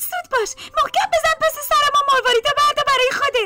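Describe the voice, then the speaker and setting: A squeaky, put-on character voice at an extremely high pitch plays over faint music in the background. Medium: audio drama.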